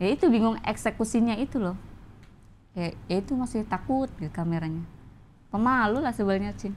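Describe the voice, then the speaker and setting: Over light background noise, a woman talks at a fairly quick pace with lively intonation and a fairly high pitch. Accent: Banyumasan. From Banjarnegara, Central Java, Indonesia; Central Java, Indonesia. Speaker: stand-up comedian. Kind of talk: casual interview; interview answer. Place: studio. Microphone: lapel.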